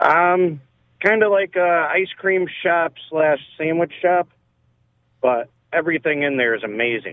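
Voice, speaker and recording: Speaking fairly slowly, a man has a high pitch. Long, frequent pauses break up his speech. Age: 40s. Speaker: caller. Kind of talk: call-in conversation. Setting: phone call.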